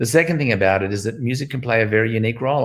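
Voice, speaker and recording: A somewhat breathy male voice. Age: 60s. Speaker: music educator, founder of a music school network. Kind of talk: interview.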